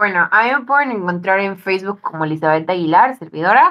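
Medium in pitch, a woman speaks with a Mexican accent and lively intonation. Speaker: podcast co-host. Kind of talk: casual chat.

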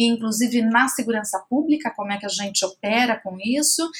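Noticeable background noise sits behind the speaker. She is a woman with a fairly high pitch. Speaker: NGO program director and public policy researcher. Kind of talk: interview.

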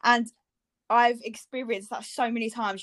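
Against a quiet background, a woman with a fairly high pitch speaks at a moderate pace in a monotone, flat intonation. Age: 20s. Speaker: podcast co-host, blogger. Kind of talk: casual chat.

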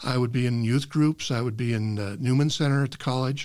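In a very clean recording with a silent background, a man uses a normal speaking voice at a moderate pace with ordinary pitch variation. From US Midwest (Nebraska and Iowa). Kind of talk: casual interview.

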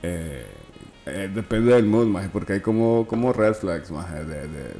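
A fairly low-pitched man with a Honduran accent, against noticeable background noise. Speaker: podcast co-host. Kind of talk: casual chat.

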